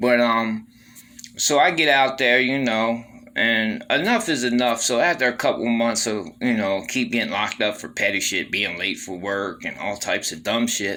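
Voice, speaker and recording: Noticeable background noise behind a man at medium pitch, moderate pace and ordinary pitch variation. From Baltimore, Maryland. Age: 40s. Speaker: former prisoner telling his story. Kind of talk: casual first-person storytelling monologue. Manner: conversational with many fillers.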